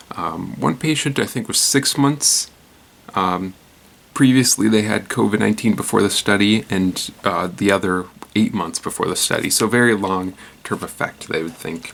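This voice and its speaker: Soft-spoken and fairly low-pitched, a man talks at a moderate pace. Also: lively intonation. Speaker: news commentary show host. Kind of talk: casual news commentary. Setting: at home at night. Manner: quiet, soft-spoken; hesitant, many fillers.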